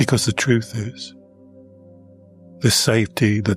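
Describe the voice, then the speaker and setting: Fairly low male voice with ordinary pitch variation, music in the background. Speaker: Taoist monk and meditation teacher. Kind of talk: guided meditation.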